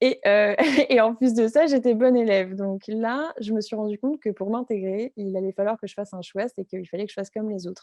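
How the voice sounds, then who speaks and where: A woman's fairly high voice with ordinary pitch variation and big swings in loudness, in a dry, close sound with no echo. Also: fairly quick pace. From France. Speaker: entrepreneur. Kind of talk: interview. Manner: halting, many fillers.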